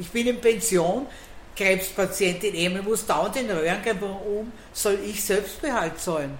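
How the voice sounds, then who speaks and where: A woman talks at a moderate pace, her pitch varying in an ordinary way, with room echo and background noise both noticeable. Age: 70s. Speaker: bar owner. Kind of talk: casual chat. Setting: in a bar.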